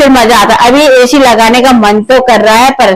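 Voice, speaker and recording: A woman with ordinary pitch variation. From Uttarakhand. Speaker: vlogger. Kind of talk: casual home vlog. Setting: at home. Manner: loud.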